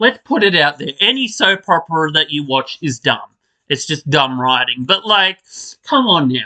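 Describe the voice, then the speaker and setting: A man's raised, projected voice with a bright, sharp tone, in a dry, close sound with no echo. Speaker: soap opera podcaster. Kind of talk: casual rant. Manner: animated.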